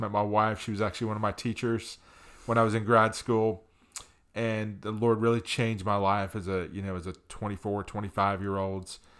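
A man with an American accent talks at a fairly quick pace with a fairly low pitch. His intonation is flat and monotone, and the recording is very clean with a silent background. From US Northeast, New Jersey. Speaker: marriage ministry pastor. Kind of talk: casual interview.

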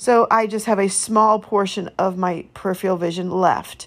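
Recorded very cleanly against a silent background, a woman of medium pitch speaks with monotone, flat intonation. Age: 50s. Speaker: faith podcast host. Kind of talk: personal testimony monologue.

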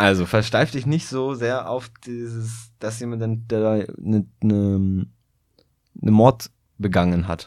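A man talks at a very slow pace. His pitch varies an ordinary amount. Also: medium pitch for a man. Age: 20s. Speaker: podcast co-host. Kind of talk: casual chat. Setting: small room with poor sound dampening.

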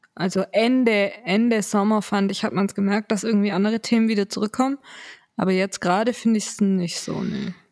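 A woman with a plain, everyday voice speaks at a medium pitch and a fairly quick pace. Her intonation is fairly even, the sound dry and close with no echo. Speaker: podcast co-host, daughter of the other host, student. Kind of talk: casual chat.

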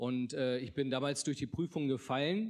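This man talks at a moderate pace in a medium pitch, with ordinary pitch variation. The recording is very clean, with a silent background. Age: 30s. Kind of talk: testimony. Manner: halting, many filler sounds.

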